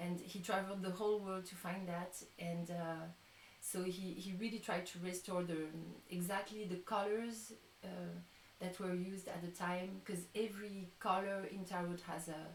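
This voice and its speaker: Monotone, flat speech at a moderate pace, with audible room echo and noticeable background noise. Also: woman, medium pitch for a woman. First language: not English. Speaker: tarot reader and musician. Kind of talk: live-stream chat. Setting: live stream. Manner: halting.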